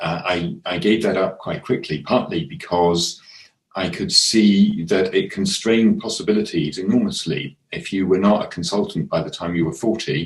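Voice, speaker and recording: A man talks with an English accent. His pace is moderate. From England. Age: 60s. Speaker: artist. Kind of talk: casual chat. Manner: halting.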